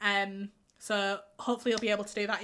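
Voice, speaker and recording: A woman's voice with a bright, sharp tone. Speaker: game streamer. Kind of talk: casual live stream chat.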